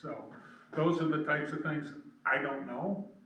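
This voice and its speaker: Moderate speed and a rather high pitch for a man, plus audible echo from the room. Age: 70s. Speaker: council applicant. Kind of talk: public meeting interview. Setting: village council meeting.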